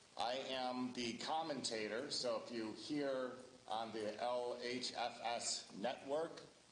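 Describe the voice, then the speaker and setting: A man with an American accent speaks at a very slow pace in a medium pitch, with fairly even intonation, amid noticeable background noise and audible room echo. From Ohio. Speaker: local election candidate. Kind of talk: candidate introduction at public forum. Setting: public forum with audience and microphone. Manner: loud.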